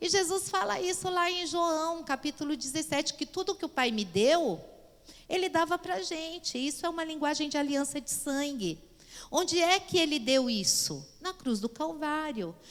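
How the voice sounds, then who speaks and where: A woman speaks at a moderate pace in a high pitch, with lively intonation. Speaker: pastor and Bible teacher. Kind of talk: Bible class lecture.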